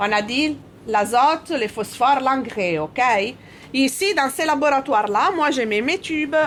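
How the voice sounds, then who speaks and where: Speaking with an Italian accent, a woman uses a high pitch and a fairly slow pace. Her intonation is lively, and her loudness swings widely. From Italy. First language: Italian (speaking French). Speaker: scientist. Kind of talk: explaining to children.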